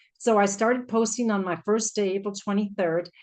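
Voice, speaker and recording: Speaking at a fairly quick pace in a medium-pitched voice, a woman with a Canadian accent is heard against a quiet background. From Canada, Vancouver Island. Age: 60s. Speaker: network marketing presenter. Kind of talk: testimony. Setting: video call. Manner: animated.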